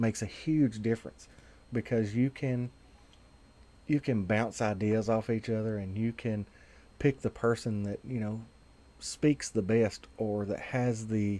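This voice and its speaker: At a fairly slow pace, a man with a Southern US accent speaks in a medium-pitched voice with a dark, mellow tone, in a very clean recording with a silent background. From Tennessee. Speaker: vaping advocate video host. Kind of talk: casual video monologue. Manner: hesitant, many fillers.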